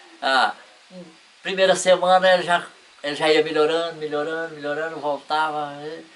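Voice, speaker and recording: Monotone, flat delivery from a man with a fairly high pitch, long, frequent pauses, and noticeable background noise. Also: moderate pace. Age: 70s. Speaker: spiritist shelter volunteer. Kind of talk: interview.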